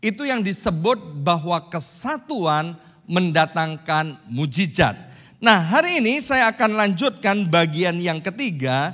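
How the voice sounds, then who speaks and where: Over a quiet background, a man speaks at a very slow pace in a high pitch, with a bright, sharp tone and lively intonation. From Indonesia. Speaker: pastor. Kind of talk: sermon. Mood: warm, joking at times. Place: church. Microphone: handheld.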